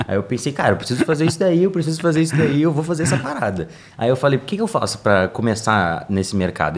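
A man at a very fast pace, with very wide pitch swings, over noticeable background noise. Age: 20s. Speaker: digital marketing specialist. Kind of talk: interview. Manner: animated.

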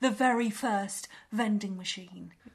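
The passage is read aloud plainly. Nothing more is added to the delivery.

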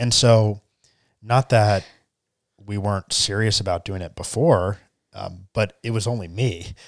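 A man with an American accent at a fairly low pitch and fairly slow pace, with long, frequent pauses, in a dry, close sound with no echo. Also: ordinary pitch variation. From US South, Charleston, South Carolina. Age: 20s. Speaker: tech entrepreneur. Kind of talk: interview. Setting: studio.

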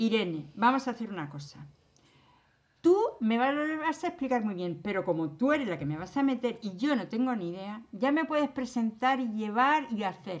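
A woman with a fairly high pitch speaks against a quiet background. Her pitch swings very widely at a moderate pace. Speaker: retired teacher. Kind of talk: casual chat. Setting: remote call. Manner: animated.

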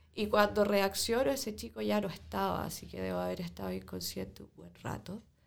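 A woman talks at a fairly quick pace with hardly any pauses. Her loudness swings widely. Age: 20s. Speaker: protest injury victim. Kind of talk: testimony.

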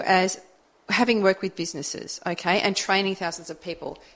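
Talking at a fairly quick pace, a woman speaks with an Australian accent at a medium pitch. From Australian countryside. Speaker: community radio co-host. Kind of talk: radio DJ patter, cheery station IDs and back-announcing. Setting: community radio studio. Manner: warm, bright and breezy, laid-back banter.

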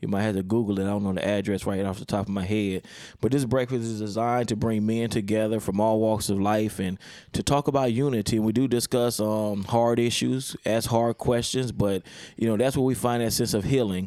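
The voice is a plain, everyday voice belonging to a man. He talks fairly quickly at a fairly low pitch with fairly even intonation. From Baltimore, Maryland. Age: 40s. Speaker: pastor. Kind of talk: casual chat.

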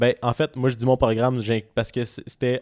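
A man with a Quebec accent speaks at a moderate pace and medium pitch, recorded very cleanly against a silent background with a dry, close sound and no echo. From Montreal, Quebec. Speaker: podcast co-host. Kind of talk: casual chat.

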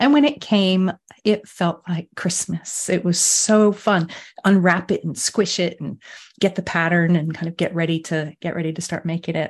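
In a quiet background, a woman with a fairly low, somewhat breathy voice talks at a moderate pace with ordinary pitch variation. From US. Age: 50s. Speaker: sleep coach. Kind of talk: interview chat.

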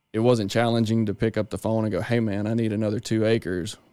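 A medium-pitched man with a Mississippi accent and a dark, mellow tone at a fairly quick pace, on a very clean recording with a silent background. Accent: Southern US (Mississippi). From northern Mississippi. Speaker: agronomist. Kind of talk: casual chat.

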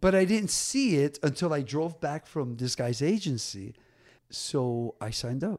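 The speaker is a man with a plain, everyday voice. He talks fairly slowly at a fairly high pitch with lively intonation. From New Jersey (Paterson). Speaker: DJ and dancer. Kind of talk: casual interview chat.

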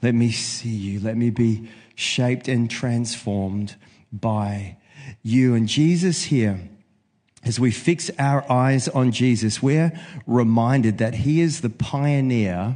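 Speaking very slowly in a New Zealand accent, a man uses a medium pitch with ordinary variation and a dark, mellow tone, leaving long, frequent pauses against a quiet background. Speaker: preacher. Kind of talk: sermon. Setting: church.

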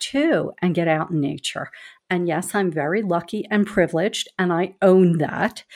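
A woman with a Philadelphia accent at medium pitch, moderate in pace with ordinary pitch variation, in a very clean recording with a silent background. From Philadelphia, US. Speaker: advocacy executive. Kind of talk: casual conversation.

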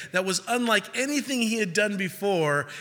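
A man projects a raised, high-pitched voice with a bright, sharp tone and lively intonation. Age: 30s. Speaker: pastor leading a young adult Bible study. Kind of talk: sermon. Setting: church.

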